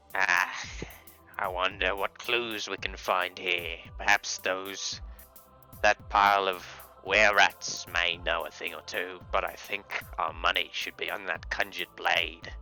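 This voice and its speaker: Someone speaks in a put-on character voice at a fairly slow pace, leaving long, frequent pauses. Clear music plays in the background. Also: man, very deep, low pitch for a man. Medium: actual play. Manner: theatrical, flowery.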